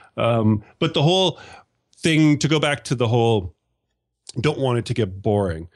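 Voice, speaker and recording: A man with a Canadian accent, medium pitch and moderate pace, with long, frequent pauses and a quiet background. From Canada. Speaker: podcast host. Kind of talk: casual chat. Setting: video call.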